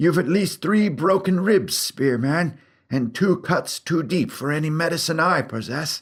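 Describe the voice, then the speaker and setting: A man does a put-on character voice, pitched high, at a moderate pace. The recording is very clean with a silent background. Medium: read story. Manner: gentle, measured, hesitant.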